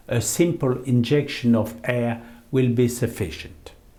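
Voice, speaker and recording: A man talks at a very slow pace, and the room echo is audible. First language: French. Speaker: eye surgeon. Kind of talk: lecture. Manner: formal.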